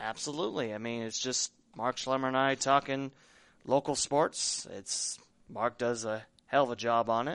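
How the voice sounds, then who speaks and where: At a moderate pace, a man talks in an ordinary speaking voice, medium in pitch with fairly even intonation. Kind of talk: casual sports chat. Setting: studio.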